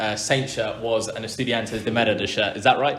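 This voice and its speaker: Audible room echo surrounds a man's voice. He talks at a fairly quick pace and a medium pitch. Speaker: football podcast host. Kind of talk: casual interview. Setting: living room.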